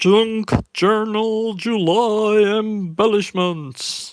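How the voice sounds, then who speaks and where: A man puts on a character voice, high-pitched and theatrical. He draws the words out at a very slow pace. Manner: booming, theatrical announcement.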